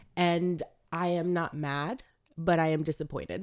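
A woman with an American accent speaks in an animated tone at a fairly low pitch. The recording is very clean, with a silent background. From Florida, US South (Ocala). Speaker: podcast co-host. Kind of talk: casual chat.

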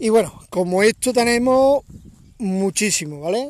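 A man talks at a very slow pace, his intonation lively. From Córdoba, Andalusia, Spain. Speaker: podcaster. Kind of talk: casual monologue.

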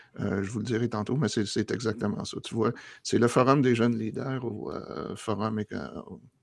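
Vocal fry runs through this man's speech, delivered with a Quebec accent at a moderate pace and with ordinary pitch variation. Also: medium pitch for a man. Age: 50s. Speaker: geographer, academic. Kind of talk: casual interview chat.

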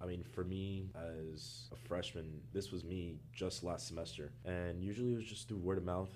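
Heard with audible room echo, a man with an American accent speaks in a very deep, low, dark and mellow voice with ordinary pitch variation. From Florida, Miami. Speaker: college student. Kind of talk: casual interview.

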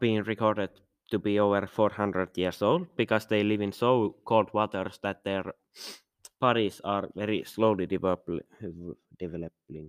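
The dry, close recording has no echo and captures a man with a fairly low pitch and a non-native accent talking at a moderate pace. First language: not English. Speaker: podcast host. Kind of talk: casual monologue. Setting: home recording with background noise. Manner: halting; frequent sighs and fillers.

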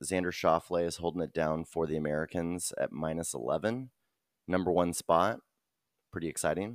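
The speaker moves at a fairly quick pace with ordinary pitch variation. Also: man, very deep, low pitch for a man, dry, close sound with no echo, very clean recording, silent background. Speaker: podcast co-host. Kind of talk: casual chat. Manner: fast.

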